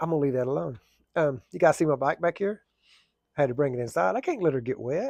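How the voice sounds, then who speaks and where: Someone speaks with an Oklahoma accent at a very fast pace with lively intonation and long, frequent pauses, in a dry, close sound with no echo. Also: man, fairly high pitch for a man. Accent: southern US (Oklahoma). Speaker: firefighter and plumber vlogger. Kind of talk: casual vlog talk.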